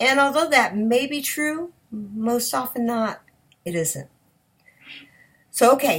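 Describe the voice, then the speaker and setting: A woman speaks at a fairly slow pace with a high pitch. The recording is very clean, with a silent background. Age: 60s. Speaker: sex addiction recovery coach. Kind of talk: advice talk to camera. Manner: animated.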